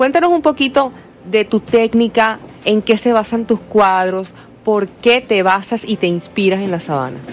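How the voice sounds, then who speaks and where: A woman's normal speaking voice, lively in intonation and moderate in pace. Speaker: radio host. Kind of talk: radio interview. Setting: radio studio.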